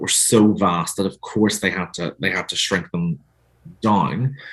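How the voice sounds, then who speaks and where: A man speaks at a moderate pace with a fairly low pitch. His pitch swings very widely. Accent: Northern Irish. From Northern Ireland. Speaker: author. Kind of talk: interview.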